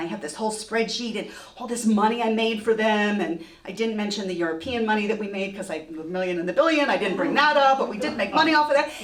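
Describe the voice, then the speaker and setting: Over noticeable background noise and audible room echo, a woman with a fairly high voice and an American accent talks very fast in an animated tone with lively intonation. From partly Texas. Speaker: storyteller. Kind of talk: live storytelling. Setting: stage with audience.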